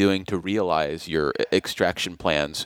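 An unremarkable speaking voice with lively intonation, dry, close sound with no echo, and a very clean recording over a silent background. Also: man. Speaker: radio host. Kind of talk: interview. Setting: studio.

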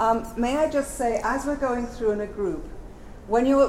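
Against noticeable background noise, a woman with a high voice speaks at a fairly quick pace. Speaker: gallery adult programs coordinator. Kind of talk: introduction to a live event. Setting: live in a gallery with a group. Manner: quieter voice.

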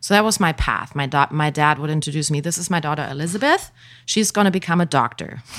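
The pace is very fast. The speaker has a German accent. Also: woman, very deep, low pitch for a woman, ordinary pitch variation. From Germany, village near Hanover. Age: 40s. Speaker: holistic life coach. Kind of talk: interview. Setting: studio.

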